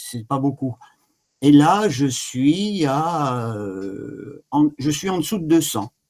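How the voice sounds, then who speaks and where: Fairly high in pitch, a man talks at a very slow pace with lively intonation. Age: 70s. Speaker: patient giving testimony. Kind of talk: testimony. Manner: halting.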